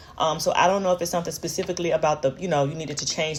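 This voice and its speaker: This woman has a very deep, low pitch and fairly even intonation. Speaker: tarot reader. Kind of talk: tarot reading monologue. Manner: fast; hesitant, many fillers.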